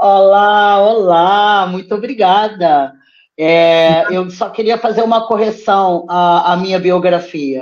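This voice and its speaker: With a Brazilian accent, the speaker talks at a very slow pace with ordinary pitch variation. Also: woman, medium pitch for a woman. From Brazil (Petrópolis). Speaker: poet and theatre teacher. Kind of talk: interview. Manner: animated.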